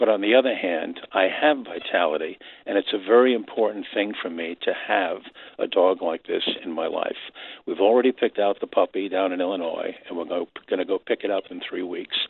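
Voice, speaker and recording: A man with a New York accent at a fairly quick pace. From New York City, Queens. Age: 70s. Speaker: caller, retired radio man. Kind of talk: phone-in call.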